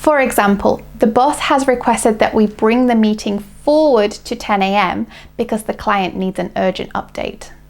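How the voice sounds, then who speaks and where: With a British accent, a woman speaks at a fairly high pitch. Her pitch varies in an ordinary way. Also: moderate pace. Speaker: English teacher. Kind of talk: English lesson to camera.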